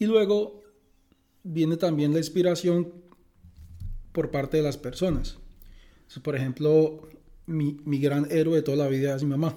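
At a fairly slow pace, a man with a fairly high pitch and a dark, mellow tone keeps fairly even intonation and takes long, frequent pauses. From Colombia, Bucaramanga and San Gil (Santander). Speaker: physicist. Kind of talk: interview. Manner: halting.

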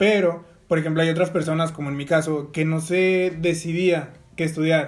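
A man speaks in a flat, monotone way at a fairly high pitch. Music plays behind him. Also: moderate pace. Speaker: podcast co-host, business administration student. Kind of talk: casual chat.

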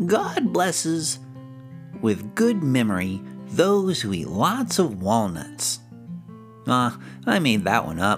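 A man's put-on character voice at a very slow pace, with long, frequent pauses and clear music in the background. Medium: read story. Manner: eager, excitable.

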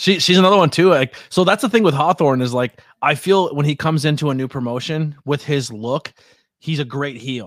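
The man's voice is fairly high, with ordinary pitch variation. He talks at a fairly quick pace, and the sound is dry and close with no echo. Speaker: podcast host and wrestling commentator. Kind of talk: casual chat. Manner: loud; energetic.

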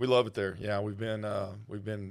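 A man with a fairly low pitch, flat monotone intonation and a Texas accent. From rural North Texas. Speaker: wealth manager. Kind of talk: casual interview.

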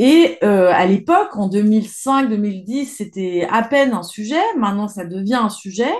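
A woman's fairly high voice with lively intonation, a very slow pace and hardly any pauses. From France, Isère and Savoie (Alps). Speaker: environmental journalist. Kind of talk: interview. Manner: hesitant with fillers.

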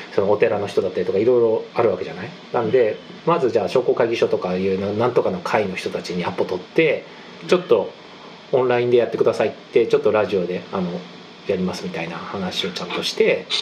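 A man talks very fast while noticeable background noise carries on. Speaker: podcast co-host. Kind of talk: casual chat. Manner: dense, steady flow.

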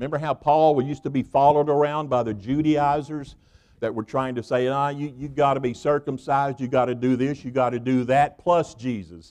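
The man speaks with a Southern US accent. His voice is fairly high and his pace fairly quick. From US South (Tennessee). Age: 60s. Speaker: guest preacher. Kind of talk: sermon. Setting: church. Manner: animated; folksy, colloquial.

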